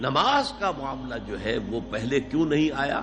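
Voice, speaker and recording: A man's medium-pitched voice, with ordinary pitch variation, comes through over background music. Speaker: Islamic scholar giving a lecture. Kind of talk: Islamic sermon / lecture (bayan). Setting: recorded lecture to an audience. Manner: emotional, earnest, emphatic.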